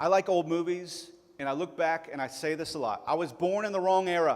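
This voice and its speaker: A man's high-pitched voice with a Tennessee accent. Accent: southern US (Tennessee). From Chattanooga, Tennessee (US South). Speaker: pastor. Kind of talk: sermon.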